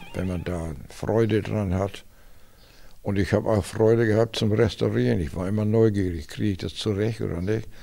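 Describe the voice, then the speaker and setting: A man speaks with a fairly low pitch and a dark, mellow tone. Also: ordinary pitch variation, moderate pace. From northern Germany, Schleswig-Holstein. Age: 80s+. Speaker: classic car collector. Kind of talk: interview. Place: garage. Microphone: handheld.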